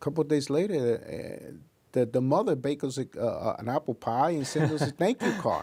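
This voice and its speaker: In a dark, mellow tone, a man talks at a moderate pace with lively intonation. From Puerto Rico. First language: Spanish. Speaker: investigator and scoutmaster. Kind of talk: interview. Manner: halting.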